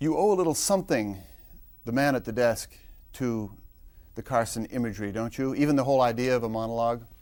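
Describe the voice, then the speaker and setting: A man with a medium-pitched voice and ordinary pitch variation talks at a very fast pace, broken up by long, frequent pauses. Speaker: radio and TV interviewer. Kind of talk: interview questions.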